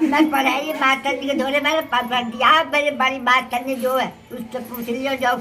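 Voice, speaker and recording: Over noticeable background noise, a woman with a high pitch projects a raised voice in a flat monotone. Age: 80s+. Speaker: elderly literacy student.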